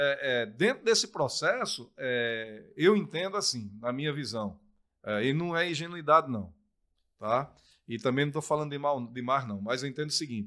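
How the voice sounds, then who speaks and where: A man's bright, sharp voice at a fairly high pitch, in a strong northeastern Brazilian accent, with lively intonation, a moderate pace and a quiet background. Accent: thick northeastern Brazilian. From Brazil, Pernambuco interior (Surubim); Pernambuco, Brazil. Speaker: sports commentator and former footballer; sports commentator. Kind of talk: casual interview chat. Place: studio. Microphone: studio mic.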